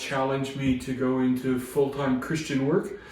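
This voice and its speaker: In an American accent, a man speaks at a medium pitch and moderate pace with fairly even intonation, over noticeable background noise and audible room echo. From US Pacific Northwest. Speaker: chaplain. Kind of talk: interview conversation. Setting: crisis centre. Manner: hesitant, many fillers.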